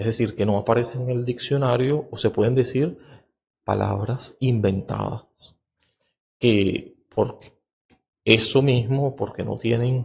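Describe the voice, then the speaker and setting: Somewhat breathy and medium in pitch, a man speaks very slowly with fairly even intonation and long, frequent pauses. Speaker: podcast host, educator on cognition and reading. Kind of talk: lecture-style monologue. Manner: hesitant, many filler sounds (eh).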